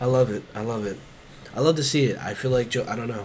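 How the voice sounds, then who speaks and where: Noticeable background noise surrounds a man talking at a fairly quick pace in a medium pitch. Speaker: basketball podcast co-host. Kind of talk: casual chat. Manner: animated.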